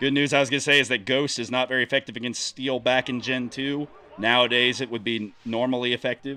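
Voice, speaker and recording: A man's medium-pitched, flat, monotone voice at a very fast pace. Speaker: gaming commentator. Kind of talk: gameplay commentary. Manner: casual, thinking aloud with fillers; stuttering at times.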